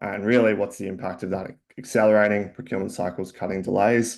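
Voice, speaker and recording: Talking at a very fast pace, a man with an Australian accent keeps a fairly low pitch and fairly even intonation. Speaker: company founder and CEO. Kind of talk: webinar presentation. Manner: hesitant, many fillers.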